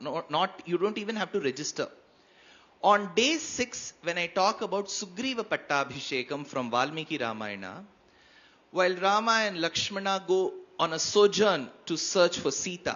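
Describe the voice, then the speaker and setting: The speaker has a Tamil accent. The pace is moderate. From India, Karnataka. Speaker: spiritual speaker. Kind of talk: panel discussion.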